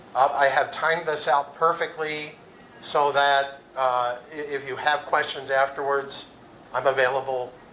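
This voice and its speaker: A man speaks at a fairly slow pace and a fairly high pitch, his intonation monotone and flat. Audible room echo and noticeable background noise fill the recording. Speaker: conference keynote speaker. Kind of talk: conference talk. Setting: stage with audience.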